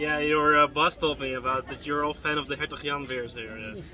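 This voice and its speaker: A man talks at a fairly quick pace and a fairly high pitch. His pitch varies in an ordinary way over noticeable background noise. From Netherlands. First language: Dutch. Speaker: beer review vlogger. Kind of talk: casual vlog with bartender chat. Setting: in a beer bar. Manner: animated.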